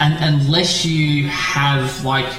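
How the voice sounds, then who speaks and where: A man with an Australian accent talks at a very slow pace in a fairly high pitch. Audible room echo and noticeable background noise surround him. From Australia, Victoria. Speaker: game streamer. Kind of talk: live stream chat. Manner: halting, many fillers and repeats; quiet while gaming.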